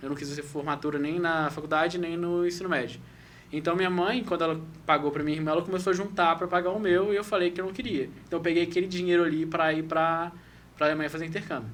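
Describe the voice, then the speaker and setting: Talking at a very fast pace, a man with a Minas Gerais accent uses a high pitch. His intonation stays fairly even. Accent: Minas Gerais (mineiro). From Brazil, Belo Horizonte (Minas Gerais). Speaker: former exchange student, foreign trade professional. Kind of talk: podcast interview. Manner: halting, with repetitions.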